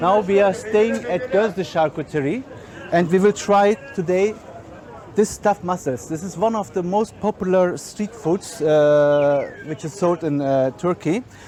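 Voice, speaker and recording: A man's high voice in a German accent, moderate pace and ordinary pitch variation, with noticeable background noise. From Germany. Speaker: chef and caterer. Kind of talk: guided food tour presentation. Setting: outdoors at a crowded market. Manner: halting, many fillers.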